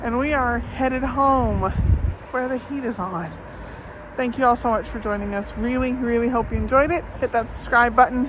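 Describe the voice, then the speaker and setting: High-pitched speech from a woman at a moderate pace, ordinary in pitch movement, with noticeable noise behind it. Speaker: travel vlogger. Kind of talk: walking travel vlog. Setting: outdoors. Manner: casual, hesitant with fillers.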